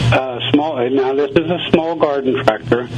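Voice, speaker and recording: There is noticeable background noise. Over it, a man talks at a medium pitch. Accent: American. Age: 70s. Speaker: gardener. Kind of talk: radio interview.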